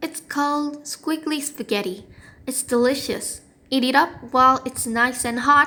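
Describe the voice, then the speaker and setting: A woman's shrill, high-pitched put-on character voice at a moderate pace. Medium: read story. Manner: shrill, cackling.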